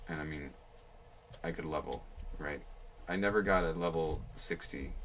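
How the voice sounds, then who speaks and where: A man with a very deep, low pitch and ordinary pitch variation speaks at a moderate pace, with noticeable background noise and audible room echo. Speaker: game streamer. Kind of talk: casual gaming livestream talk. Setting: livestream. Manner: soft-spoken; chatty, casual.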